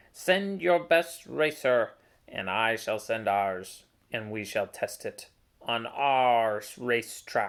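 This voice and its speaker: In a put-on character voice, the speaker uses a low-to-middle pitch at a very slow pace. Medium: read story. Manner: formal, stilted.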